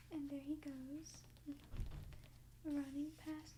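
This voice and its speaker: In a gentle tone, a woman speaks at a very slow pace. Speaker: ASMR creator. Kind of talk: rhythmic read-aloud of a rhyming children's book. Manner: soft-spoken, gentle.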